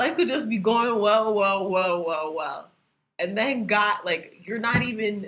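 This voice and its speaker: A woman's plain, everyday voice at medium pitch, with lively intonation and a fairly slow pace. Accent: American. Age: 20s. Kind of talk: casual chat.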